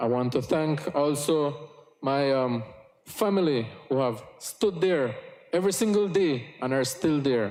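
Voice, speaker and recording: A man with a Yucatán accent speaks at a fairly slow pace with lively intonation and a fairly high pitch. Audible room echo and noticeable background noise are present. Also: very even loudness. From Belize, Cayo district Maya village. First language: Yucatec Maya. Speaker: politician. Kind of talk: parliamentary speech. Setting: parliament chamber. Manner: formal.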